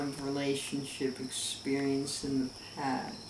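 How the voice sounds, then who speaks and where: Noticeable background noise behind a male speaker. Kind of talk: deadpan comedic monologue. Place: home room. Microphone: camera far.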